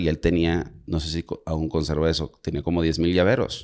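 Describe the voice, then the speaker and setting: Using vocal fry, a man speaks at a moderate pace with very deep, low pitch on a very clean recording with a silent background. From Monterrey, northern Mexico. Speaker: podcast co-host. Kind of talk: casual chat.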